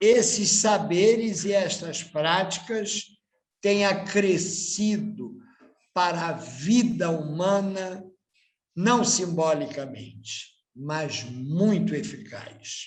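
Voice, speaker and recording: At a very slow pace, a man speaks in a high voice with ordinary pitch variation. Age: 60s. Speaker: candomblé priest. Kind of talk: panel talk.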